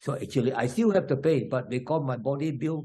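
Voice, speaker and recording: This is a man's voice. It sounds somewhat breathy. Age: 80s+. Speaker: elderly triathlete. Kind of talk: interview.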